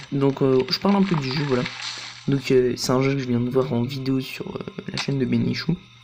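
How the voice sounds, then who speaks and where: The talking goes at a moderate pace. Noticeable background noise is present throughout. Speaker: gaming youtuber. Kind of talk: let's play commentary. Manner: casual, hesitant with many fillers.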